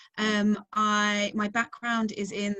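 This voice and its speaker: A woman is speaking. She has an English accent. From England. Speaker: researcher and webinar moderator. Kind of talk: webinar self-introduction. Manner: hesitant, many fillers.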